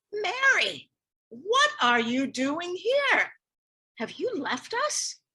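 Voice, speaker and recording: In a put-on character voice, a woman speaks at a very slow pace, squeaky and at an extremely high pitch, with very wide pitch swings. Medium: stage play. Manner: hushed, embarrassed.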